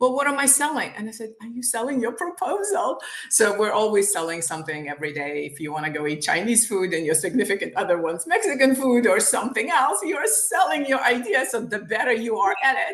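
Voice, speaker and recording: Over noticeable background noise, a woman speaks at a fairly quick pace with hardly any pauses, her fairly high voice making very wide pitch swings. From Ukraine, Kyiv. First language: Ukrainian or Russian. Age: 50s. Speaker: author and sales trainer. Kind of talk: interview. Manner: animated.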